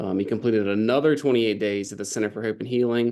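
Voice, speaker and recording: Very fast, fairly even intonation from a man with a fairly low pitch, against a quiet background. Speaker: addiction clinic staff presenting a case. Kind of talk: case presentation. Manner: hesitant, many fillers.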